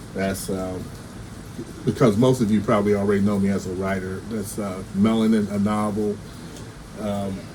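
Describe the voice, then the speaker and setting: Room echo is audible and background noise noticeable as a man with a fairly low pitch talks in a flat monotone. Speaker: writer and cartoonist. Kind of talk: casual video update. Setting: home recording, no soundproof studio. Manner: stammering; halting, many fillers and repeats.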